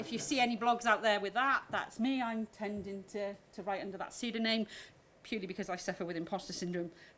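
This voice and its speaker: A woman talks at a very fast pace in a Welsh accent. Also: medium pitch for a woman, ordinary pitch variation. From Wales. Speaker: agile coach. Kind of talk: conference talk. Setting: stage with audience.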